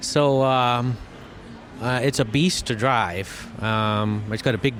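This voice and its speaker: A man's medium-pitched voice with an American accent, fairly even intonation, noticeable background noise. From Massachusetts. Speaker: electrician and car audio competitor. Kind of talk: interview.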